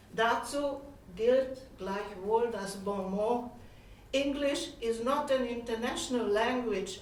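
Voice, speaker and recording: With audible room echo and noticeable background noise, a woman speaks very slowly at a fairly high pitch with ordinary pitch variation. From Hungary. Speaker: professor of cultural studies. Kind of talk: conference lecture. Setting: conference hall.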